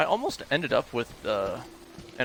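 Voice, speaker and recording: A man talks at a moderate pace while noticeable background noise carries on. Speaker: game streamer. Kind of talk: live gameplay commentary. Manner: soft-spoken.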